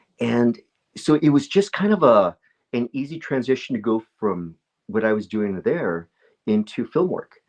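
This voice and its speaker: A man speaks with lively intonation. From California. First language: Spanish. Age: 50s. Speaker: actor and martial artist. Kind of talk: casual interview chat. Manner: halting, many fillers and repeats.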